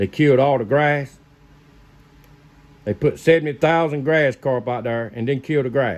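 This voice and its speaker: A man at a medium pitch speaks at a fairly slow pace. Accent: American. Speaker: fishing video maker, lure crafter. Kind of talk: casual how-to video. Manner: rambling, conversational.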